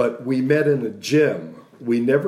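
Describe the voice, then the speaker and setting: A man with an American accent talks at a very slow pace with ordinary pitch variation. Audible room echo surrounds his voice. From Texas, Dallas (Oak Cliff). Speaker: actor. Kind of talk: casual chat.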